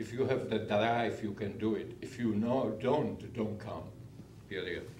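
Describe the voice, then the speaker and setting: Speaking fairly slowly with a non-native accent, a man keeps a medium pitch and fairly even intonation amid noticeable background noise and audible room echo. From abroad (immigrant). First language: not English. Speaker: public commenter at city council meeting. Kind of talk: public comment.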